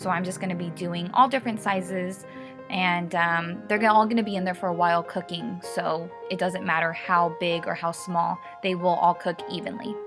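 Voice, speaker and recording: Music plays behind a woman with a fairly low pitch. She talks at a moderate pace with ordinary pitch variation. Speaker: lifestyle vlogger. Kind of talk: cooking tutorial voiceover. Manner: casual, friendly.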